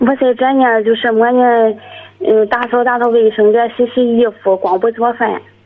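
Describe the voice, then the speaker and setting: Noticeable background noise accompanies a woman with a fairly high pitch at a moderate pace. Her intonation is fairly even and her loudness very even. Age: 40s. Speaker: caller, live-in domestic worker. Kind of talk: phone-in confession.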